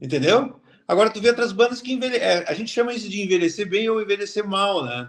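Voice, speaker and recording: This man's voice sits high in pitch and moves with ordinary pitch variation. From southern Brazil, Cachoeira do Sul. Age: 60s. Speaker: cartoonist. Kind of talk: interview. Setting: book fair.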